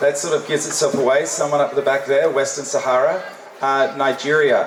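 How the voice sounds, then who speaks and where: A man with an Australian accent at a moderate pace, with noticeable background noise and audible room echo. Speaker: UN official and former naval officer, guest speaker. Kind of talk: keynote speech. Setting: hall with audience. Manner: interactive, casual.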